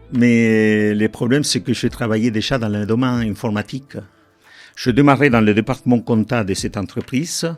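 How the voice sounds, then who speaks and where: A man's medium-pitched voice with a non-native accent, at a moderate pace and fairly even intonation, with music in the background. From Argentina. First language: Spanish and Italian (speaking French). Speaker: IT director. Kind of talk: podcast interview. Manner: halting.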